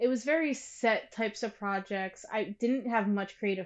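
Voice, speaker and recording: A woman talks in an ordinary speaking voice with an American accent, pitched fairly high. Her pace is fairly slow, and her pitch varies in an ordinary way. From Pennsylvania. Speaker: videographer and producer. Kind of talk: interview.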